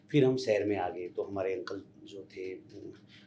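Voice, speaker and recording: A man's voice over noticeable background noise. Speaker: sports official and former kabaddi player. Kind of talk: interview.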